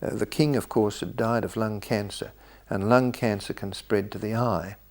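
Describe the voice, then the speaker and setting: A man with an Australian accent speaks at a moderate pace, his fairly low voice showing ordinary pitch variation. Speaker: retired surgeon. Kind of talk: memoir storytelling. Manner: halting.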